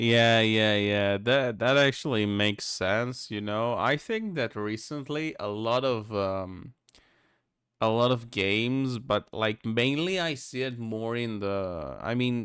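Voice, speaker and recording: At a very slow pace, a man with a non-native accent speaks at medium pitch with ordinary pitch variation, on a very clean recording with a silent background. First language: not English. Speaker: streamer reacting to videos. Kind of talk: casual reaction commentary. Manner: halting, self-correcting.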